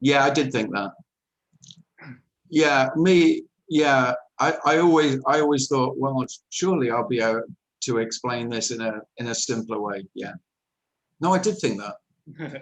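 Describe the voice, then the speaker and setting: Speaking fairly slowly with long, frequent pauses, a man uses lively intonation at a medium pitch. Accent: English. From England. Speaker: nonduality speaker. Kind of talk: spiritual talk answering question.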